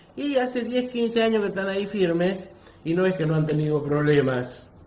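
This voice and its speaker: Audible room echo around a man's dark, mellow tone, with lively intonation at a moderate pace. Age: 60s. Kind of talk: sermon. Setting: parish office, livestream.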